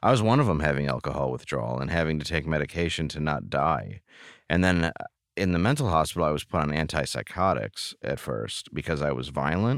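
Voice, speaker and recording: A man with an American accent speaks at a fairly quick pace in a very deep, low pitch with vocal fry and lively intonation, on a very clean recording with a silent background. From US Midwest, Detroit area, Michigan. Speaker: comedian. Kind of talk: casual interview.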